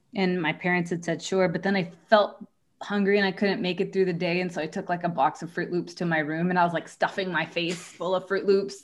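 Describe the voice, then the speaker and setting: A woman speaks at a medium pitch and fairly quick pace. It's an ordinary speaking voice with fairly even intonation. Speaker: podcast host. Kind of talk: casual chat.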